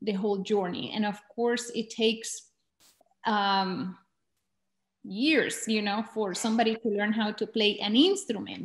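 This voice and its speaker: A woman with a Spanish accent speaks at a fairly slow pace in a fairly high, somewhat breathy pitch with fairly even intonation. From Colombia, border town near Venezuela. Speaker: documentary filmmaker. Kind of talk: talk to filmmakers. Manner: halting.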